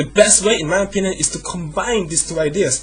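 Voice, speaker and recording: A man talks at a high pitch while noticeable background noise carries on behind him. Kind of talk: casual talk to camera, opinion rant. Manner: fast, with hesitations.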